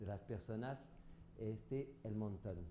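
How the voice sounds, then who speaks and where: With a French accent, a man speaks in a dark, mellow tone at a fairly low pitch and with ordinary pitch variation. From France. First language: French (speaking Spanish). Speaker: facial massage therapist. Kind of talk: interview. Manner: halting.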